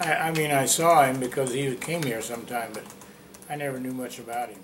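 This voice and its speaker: A man with an American accent talks at a moderate pace and a medium pitch. There is noticeable background noise. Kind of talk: oral history interview answer.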